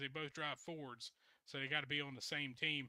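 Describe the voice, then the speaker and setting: A man speaks with a Southern accent in a fairly high voice. His intonation stays flat and monotone. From US South. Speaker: truck pulling show host. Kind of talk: casual interview show.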